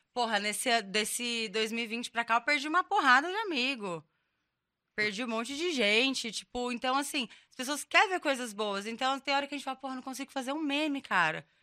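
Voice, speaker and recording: A woman's high-pitched, bright and sharp voice at a fairly quick pace, with lively intonation and big swings in loudness, in a dry, close sound with no echo and a very clean recording over a silent background. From Brazil, São José dos Campos (São Paulo state). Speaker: meme page admin. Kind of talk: casual chat.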